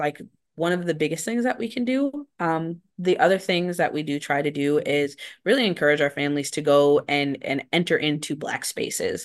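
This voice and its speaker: Here a woman speaks at a very deep, low pitch. The background is quiet. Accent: American. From rural Wisconsin. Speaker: program director. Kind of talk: interview. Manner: frequent filler words.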